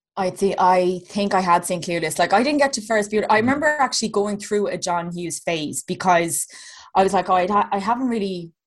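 Against a quiet background, a woman with a west of Ireland accent speaks at a fairly quick pace. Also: medium pitch for a woman, ordinary pitch variation. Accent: Irish (rural west). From County Clare, Ireland. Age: 30s. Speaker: comedian and podcast co-host. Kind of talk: casual chat.

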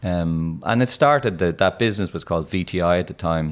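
A man's very deep, low voice with a Dublin accent. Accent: Irish (Dublin). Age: 50s. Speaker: tech entrepreneur. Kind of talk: interview.

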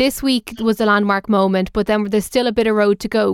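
A woman with an Irish accent talks at a fairly quick pace and fairly high pitch, with fairly even intonation. The recording is very clean and dry, close with no echo and a silent background. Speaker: radio tech show host. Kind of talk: radio talk show. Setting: radio studio.

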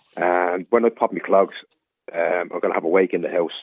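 A man talks at a fairly quick pace. He speaks with a Dublin accent. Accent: Dublin Irish. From Dublin, Ireland. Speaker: caller. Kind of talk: phone-in radio chat. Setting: phone call.

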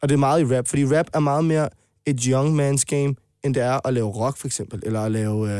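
Dry and close with no echo, a man's dark, mellow voice moves at a fairly quick pace with fairly even intonation. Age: 20s. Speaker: rapper. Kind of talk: casual chat.

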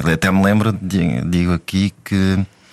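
Over noticeable background noise, a man speaks with a very deep, low pitch and fairly even intonation in a dry, close sound with no echo. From Africa. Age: 30s. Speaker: married father of five. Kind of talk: casual interview conversation. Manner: halting.

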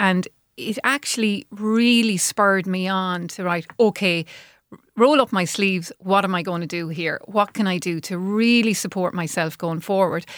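A woman with an Irish accent speaks fairly slowly at medium pitch with ordinary pitch variation, the sound dry and close with no echo, in a very clean recording with a silent background. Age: 50s. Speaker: menopause coach. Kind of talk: interview. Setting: studio.

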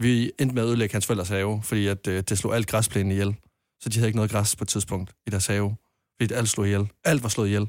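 Very fast and monotone, a man speaks at a fairly low pitch with very even loudness and flat intonation. The recording is very clean, dry and close, with no echo and a silent background. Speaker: caller. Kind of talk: casual chat.

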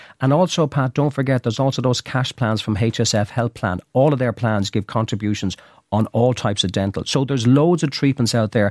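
In a very clean, dry, close recording with a silent background and no echo, a man with an Irish accent speaks at a medium pitch and a fairly quick pace, with ordinary pitch variation, very even loudness and hardly any pauses. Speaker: health insurance expert. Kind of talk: radio interview giving advice. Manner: fluent, explanatory.

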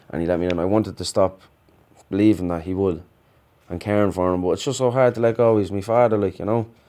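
Very fast and fairly even in intonation, a man with an Irish accent talks in a fairly low pitch with a dark, mellow tone on a very clean recording with a silent background. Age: 30s. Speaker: prisoner. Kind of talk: interview.

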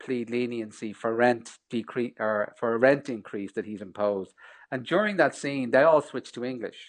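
A man speaks at a moderate pace with an Irish accent and ordinary pitch variation over a quiet background. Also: medium pitch for a man. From Ireland. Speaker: film director. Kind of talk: interview.

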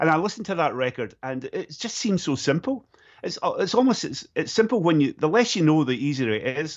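A man talks at a fairly quick pace in a Scottish accent. His fairly high pitch swings very widely. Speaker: golf journalist and former musician. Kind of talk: casual chat.

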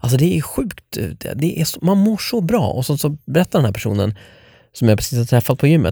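Dark and mellow in tone yet somewhat breathy, a man with a fairly high pitch makes very wide pitch swings at a fairly quick pace, in a dry, close sound with no echo on a very clean recording with a silent background. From Sweden, Norrtälje. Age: 30s. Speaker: podcast host. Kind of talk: casual chat.

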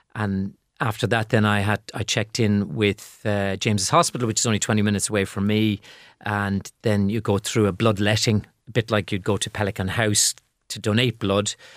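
A man with an Irish accent, fairly low pitch and monotone, flat intonation, at a fairly quick pace, in a very clean recording with a silent background and a dry, close sound with no echo. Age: 50s. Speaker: patient. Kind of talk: interview. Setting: studio. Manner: halting.

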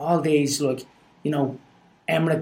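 Fairly high for a man, this voice has a dark, mellow tone and keeps a moderate pace. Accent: Dublin. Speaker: guest sharing life story. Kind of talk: casual chat.

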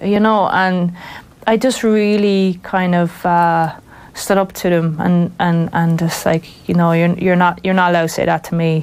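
Speaking with a Wexford Irish accent, a woman uses a fairly low pitch and monotone, flat intonation. Her pace is moderate and her loudness very even. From Ireland, rural County Wexford. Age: 40s. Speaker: football referee. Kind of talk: interview. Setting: studio.

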